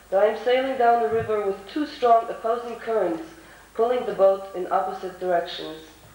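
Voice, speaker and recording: Against noticeable background noise and audible room echo, a woman with an American accent speaks at a moderate pace. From US, New York. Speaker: conference panelist. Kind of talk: prepared speech. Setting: conference hall with audience.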